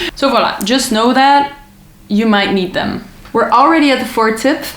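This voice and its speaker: A woman's high pitch, with audible room echo and noticeable background noise. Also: ordinary pitch variation, moderate pace. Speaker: travel vlogger. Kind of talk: casual tutorial.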